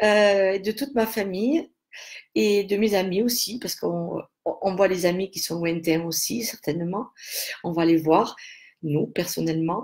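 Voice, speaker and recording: A woman's medium-pitched voice at a fairly slow pace, with ordinary pitch variation and long, frequent pauses. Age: 60s. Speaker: aromatherapy seller. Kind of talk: live stream talk. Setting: live video stream. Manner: halting.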